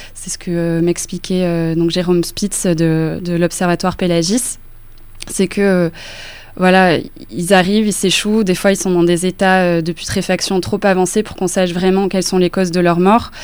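A woman speaks at a medium pitch and a fairly slow pace. Her intonation stays monotone and flat. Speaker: journalist. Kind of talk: radio interview.

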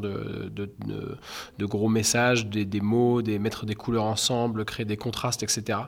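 Speaking fairly slowly, a man holds a medium pitch in a monotone, flat way. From Normandy, Caen. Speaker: street artist. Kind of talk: interview. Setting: indoors in venue corridors. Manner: halting, many hesitations.

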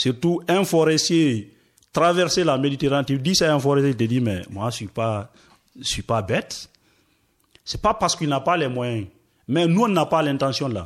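A man's fairly high pitch and lively intonation at a moderate pace, broken by long, frequent pauses. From Guinea, Forest Guinea region. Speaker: asylum seeker, radio workshop participant. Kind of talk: discussion. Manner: hesitant.

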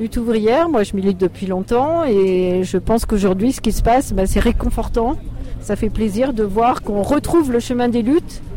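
A woman speaks at a moderate pace in a fairly high pitch, her intonation lively. Noticeable background noise sits behind her. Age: old. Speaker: retired activist protester. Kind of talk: street interview. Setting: outdoors at a street demonstration.

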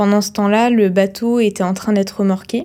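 A woman's medium-pitched voice in a monotone, flat delivery. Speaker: ship nurse. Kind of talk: testimony.

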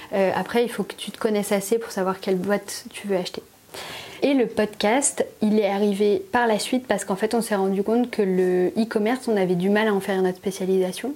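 The speaker has a normal speaking voice and moves at a fairly quick pace. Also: woman, medium pitch for a woman. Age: 30s. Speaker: illustrator and graphic designer. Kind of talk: casual chat. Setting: at her home.

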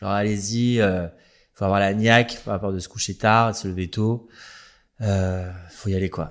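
In a very clean recording with a silent background, a man with an ordinary speaking voice talks at a moderate pace, his fairly low pitch carrying fairly even intonation. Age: 30s. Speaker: hairdresser and influencer. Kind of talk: casual interview.

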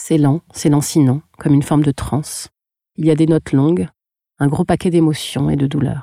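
A dark, mellow tone at a moderate pace, with very even loudness, fairly even intonation, and a dry, close sound with no echo. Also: woman, very deep, low pitch for a woman. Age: 40s. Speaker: podcast producer and singing student. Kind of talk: scripted narration.

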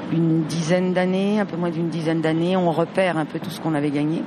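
Fairly quick speech from a woman with a fairly low pitch, along with audible room echo and noticeable background noise. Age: 60s. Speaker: teacher and union member. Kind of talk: interview at a protest.

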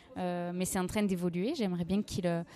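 In an unremarkable speaking voice, a woman talks at a moderate pace with medium pitch and fairly even intonation. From Aveyron, southern France (Rodez). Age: 20s. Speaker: freelance journalist and podcaster. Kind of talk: interview.

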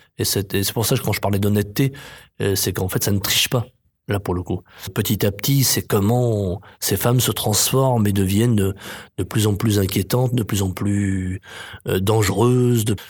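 At a moderate pace, a man speaks in a somewhat breathy, fairly low voice with fairly even intonation and very even loudness, recorded very cleanly with a silent background. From France, Chartreuse near Grenoble. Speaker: playwright and theatre director. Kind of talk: interview.

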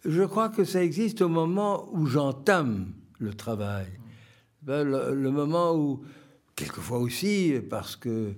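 This man's pitch swings very widely. He talks very slowly. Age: 80s+. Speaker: poet. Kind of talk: interview. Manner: halting.

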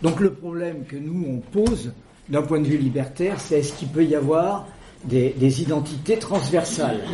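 Delivered at a fairly slow pace with ordinary pitch variation, the speech sits over noticeable background noise. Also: man. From central France, Creuse. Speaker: debate speaker, anarchist collective member. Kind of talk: public talk. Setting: debate room with audience.

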